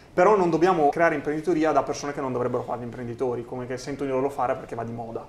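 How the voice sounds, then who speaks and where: The speech runs at a very fast pace with hardly any pauses and ordinary pitch variation, over noticeable background noise. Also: man, fairly high pitch for a man. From rural Italy, small village. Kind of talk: interview conversation.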